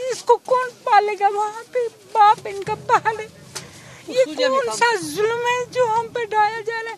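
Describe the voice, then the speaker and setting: Over noticeable background noise, a woman speaks at an extremely high pitch with ordinary pitch variation and big swings in loudness. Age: 70s. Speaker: long-term resident being deported. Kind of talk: street interview.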